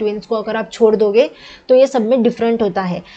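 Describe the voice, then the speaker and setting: Her fairly high-pitched voice has a dark, mellow tone and fairly even intonation. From Maharashtra, India. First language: Marathi (speaking Hindi). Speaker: student teacher / exam tutor. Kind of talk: lecture. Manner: casual, code-switching Hindi and English.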